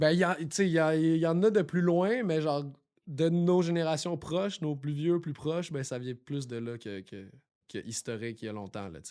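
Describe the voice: A man with a Quebec accent at a moderate pace, with big swings in loudness, in a very clean recording with a silent background. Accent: Québécois French.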